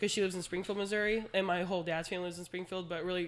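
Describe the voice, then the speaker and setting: In a very clean recording with a silent background, a woman speaks at medium pitch. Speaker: podcast guest, high school coach. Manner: fast talker.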